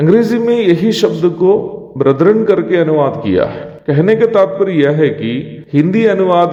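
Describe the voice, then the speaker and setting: With a Malayalam accent, a man speaks with lively intonation over noticeable background noise. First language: Malayalam (speaking Hindi). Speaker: evangelist, Bible teacher. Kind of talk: devotional Bible teaching. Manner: formal.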